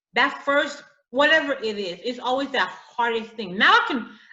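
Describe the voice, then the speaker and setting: A woman with an American accent talks at a moderate pace, her high voice carrying lively intonation. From US inner city, Haitian family. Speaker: author and teacher. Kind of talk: interview. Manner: halting, repeats words.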